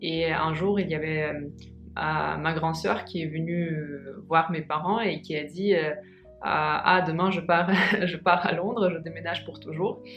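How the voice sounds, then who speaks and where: Music plays in the background as a woman speaks very slowly in a fairly low pitch with fairly even intonation, and the room echo is audible. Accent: Russian. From Russia, Moscow. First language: Russian (speaking French). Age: 20s. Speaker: vlogger. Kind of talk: casual vlog talk. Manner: halting, many hesitations.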